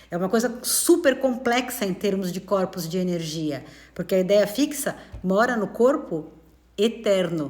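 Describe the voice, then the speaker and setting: A woman speaks at a medium pitch with a warm tone. Her intonation is lively. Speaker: spiritist study teacher. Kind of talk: live-streamed study talk. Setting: live stream. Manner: fast; warm and conversational.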